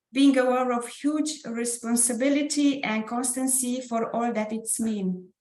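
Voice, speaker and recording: A woman talks in a high voice with a Romanian accent and hardly any pauses. Her intonation stays fairly even. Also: fairly slow pace. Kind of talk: prepared presentation.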